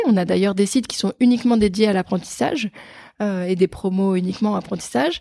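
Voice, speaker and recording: A woman with a somewhat breathy, dark, mellow tone speaks at a medium pitch and moderate pace, with ordinary pitch variation, in a dry, close sound with no echo. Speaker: fundraising manager at an engineering school. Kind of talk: casual interview. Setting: start-up office space in Paris. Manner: energetic.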